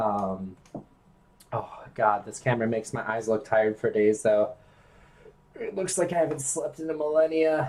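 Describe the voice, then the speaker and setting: This man's medium-pitched voice shows ordinary pitch variation as he talks at a fairly quick pace. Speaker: video game streamer. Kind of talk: casual chat. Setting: live stream.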